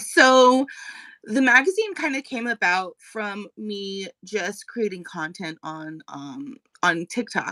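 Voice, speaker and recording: A woman with an American accent speaks at a fairly high pitch, her voice bright and sharp, swinging very widely in pitch and heavily in loudness, the sound dry and close with no echo. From Colorado, US. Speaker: magazine editor and balloon artist. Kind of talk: interview. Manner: fast.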